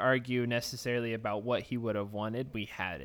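Speaking in a Texan accent, a man keeps a medium pitch and a fairly quick pace. His intonation stays fairly even. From Texas. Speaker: podcast co-host. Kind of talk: casual chat.

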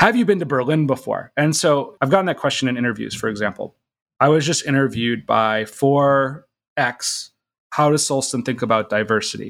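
With an American accent, an unremarkable speaking voice talks fairly quickly, its pitch shifting in ordinary ways. Nothing else is heard behind it in this very clean recording. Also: man, fairly high pitch for a man. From US Midwest, Minnesota. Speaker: startup CEO. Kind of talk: casual interview chat.

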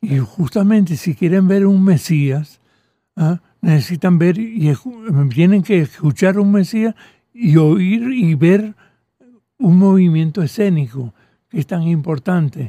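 A man with a high-pitched, dark, mellow voice speaks very slowly, using lively intonation and long, frequent pauses. The sound is dry and close with no echo. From Venezuela (Caracas), raised from age 10; born in Catalonia, childhood in France. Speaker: composer and choral conductor. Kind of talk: interview. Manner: halting.

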